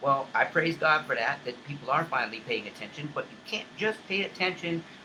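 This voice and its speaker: A man's fairly high voice at a moderate pace, ordinary pitch variation, noticeable background noise behind him. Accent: American. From US South, Charleston, South Carolina. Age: 50s. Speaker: online talk show host. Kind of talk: impassioned monologue. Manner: repetitive, halting restarts.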